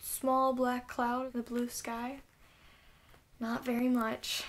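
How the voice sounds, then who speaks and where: Soft-spoken and high-pitched, a woman talks at a very slow pace. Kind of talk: sleep story; read-aloud storybook.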